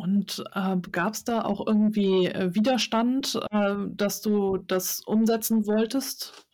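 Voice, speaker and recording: Over noticeable background noise, a woman with a fairly high voice speaks at a very slow pace with fairly even intonation. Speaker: podcast host. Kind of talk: interview. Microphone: too close to mic, overdriven.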